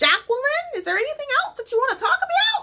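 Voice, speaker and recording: Talking at a very fast pace, a woman uses a put-on character voice pitched extremely high. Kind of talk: gentle, bedside manner.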